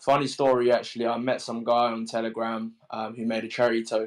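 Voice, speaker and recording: Flat, monotone delivery at a fairly quick pace in a strong British accent, on a very clean recording with a silent background. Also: man. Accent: thick British. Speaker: crypto project founder. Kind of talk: AMA panel chat. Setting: Twitter Spaces audio room.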